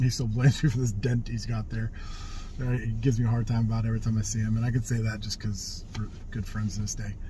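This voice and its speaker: A man's somewhat breathy, very fast speech in a flat monotone, dry with no echo, over light background noise. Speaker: vlogger telling life stories. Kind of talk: casual vlog chat. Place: car. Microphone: phone near.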